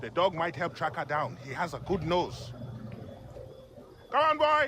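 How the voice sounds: A man puts on a character voice with a bright, sharp tone and fairly high pitch. His pitch swings very widely at a fairly slow pace.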